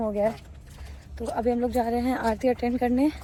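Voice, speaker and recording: Noticeable background noise behind a woman's high voice. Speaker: travel vlogger. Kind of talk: travel vlog. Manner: loud.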